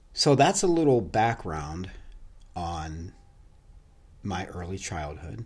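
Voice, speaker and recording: A man's very deep, low, somewhat breathy voice, very slow with lively intonation and long, frequent pauses. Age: 50s. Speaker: personal fitness trainer and bodybuilder. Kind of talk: podcast monologue. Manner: casual, with fillers and false starts.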